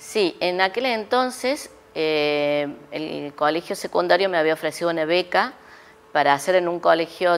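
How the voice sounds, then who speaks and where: The woman's voice has a fairly low pitch. She speaks at a fairly slow pace. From Córdoba, Argentina. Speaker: chemistry professor and researcher; chemistry professor. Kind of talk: interview. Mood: calm, reminiscing. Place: studio. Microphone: lapel.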